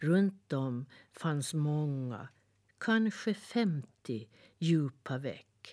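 A woman speaks in a very deep, low voice with a gentle, warm tone. Her pitch makes very wide swings. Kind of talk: children's fairy-tale reading aloud, scripted narration. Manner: gentle, warm, soothing storyteller pace; softly animated, shifting to a tender tone for the stump's lines.

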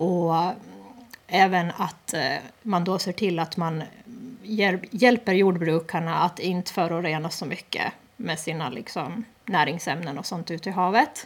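Pausing long and often, a woman with a fairly low voice speaks fairly slowly with ordinary pitch variation. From Åland, Eckerö. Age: 30s. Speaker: parliamentary candidate. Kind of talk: radio interview.

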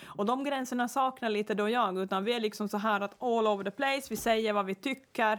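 Fairly high in pitch, a woman with a plain, everyday voice speaks at a fairly quick pace with fairly even intonation and very even loudness. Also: hardly any pauses. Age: 40s. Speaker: podcast host. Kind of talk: casual chat.

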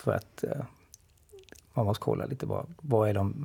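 At a moderate pace, the voice moves with ordinary pitch variation. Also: man. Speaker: artist and cartoonist. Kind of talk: casual discussion.

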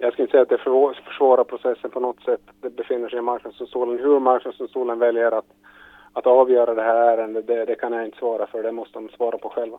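A man speaks very fast at a medium pitch. His intonation is monotone and flat. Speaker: government minister. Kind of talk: news interview.

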